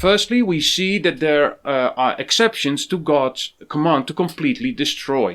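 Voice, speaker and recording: At a moderate pace, a man with a Dutch accent speaks with a fairly high pitch and lively intonation in a very clean recording with a silent background. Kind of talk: scripted commentary. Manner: hesitant, with fillers.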